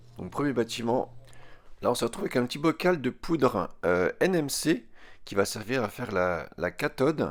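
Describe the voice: In a put-on character voice, a man sounds hoarse at a medium pitch, his pitch swinging very widely. He keeps a moderate pace over a very clean recording with a silent background.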